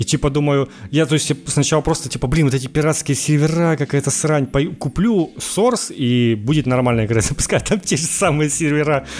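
The speech runs at a fairly quick pace with very even loudness and ordinary pitch variation, while noticeable background noise sits underneath. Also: man, fairly high pitch for a man. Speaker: podcast host. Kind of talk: casual chat.

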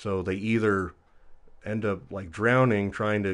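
A man with an ordinary speaking voice talks at a fairly low pitch and a moderate pace. His intonation is fairly even, and the background is quiet. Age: 30s. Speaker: geology student and musician. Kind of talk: casual chat.

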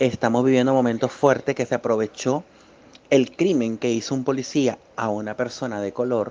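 This man has a Venezuelan accent and a medium pitch. He speaks at a moderate pace with fairly even intonation. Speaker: political scientist. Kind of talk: testimony.

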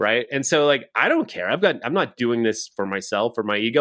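Speaking fairly quickly with lively intonation, a man talks in a Canadian Prairies accent. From Saskatchewan, Canada. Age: 40s. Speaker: real estate team leader. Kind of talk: casual podcast interview.

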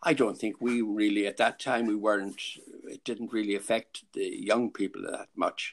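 A moderate pace in a Clare accent. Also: man. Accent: Irish, Clare. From Ennis, Ireland. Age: 80s. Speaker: grandfather being interviewed. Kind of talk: casual interview, reminiscing.

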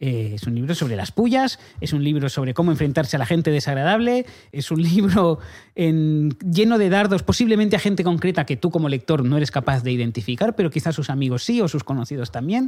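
A fairly high-pitched man at a fairly quick pace, with very wide pitch swings, on a very clean recording with a silent background. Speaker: comedy podcast host. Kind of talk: casual chat. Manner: fast.

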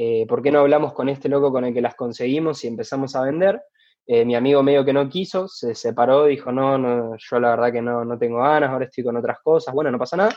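Here a man talks at a very fast pace. His pitch is medium with ordinary variation. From Argentina, Rosario. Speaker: basketball player and entrepreneur. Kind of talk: interview.

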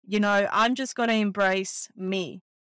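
On a very clean recording with a silent background, a woman with an Australian accent speaks fairly slowly at a medium pitch, her tone bright and sharp and her intonation fairly even. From Bosnia, raised in Australia from about age 11. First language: Bosnian/Serbo-Croatian. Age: 30s. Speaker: podcast host. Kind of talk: casual solo monologue. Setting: in a car.

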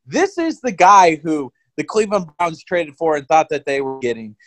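A man's high-pitched, animated voice with a dry, close sound and no echo. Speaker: podcast host. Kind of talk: casual sports chat. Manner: excitable, animated.

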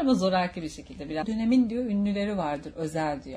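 A somewhat breathy woman's voice at a fairly quick pace. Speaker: podcast host. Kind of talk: casual chat. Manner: animated.

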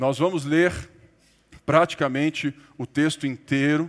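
The man's pitch sits fairly high. His intonation stays fairly even. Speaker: pastor. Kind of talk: sermon.

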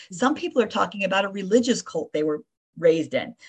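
Somewhat breathy, a woman speaks with an American accent. Her pace is fairly quick. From Florida (Davie). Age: 60s. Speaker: retired nurse and memoirist. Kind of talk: interview.

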